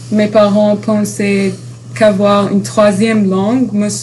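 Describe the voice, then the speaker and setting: A woman talks very slowly while audible room echo and noticeable background noise fill the recording. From Dubai. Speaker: university student. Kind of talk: interview. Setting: university campus. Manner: halting.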